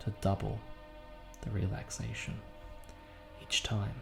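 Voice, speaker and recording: Over music in the background, a man speaks in a soothing tone at a fairly slow pace with ordinary pitch variation. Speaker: hypnotist. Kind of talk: guided sleep hypnosis. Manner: slow, soothing.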